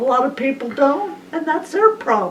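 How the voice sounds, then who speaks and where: The woman's high-pitched voice carries lively intonation while noticeable background noise plays underneath. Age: 80s+. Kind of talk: family conversation.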